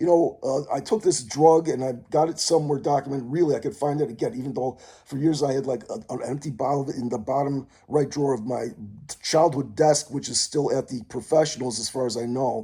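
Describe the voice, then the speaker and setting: A man's somewhat breathy, fairly high voice with a dark, mellow tone at a fairly quick pace. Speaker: vlogger. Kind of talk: rambling monologue vlog. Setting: mother's condo. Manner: fast; halting, many fillers.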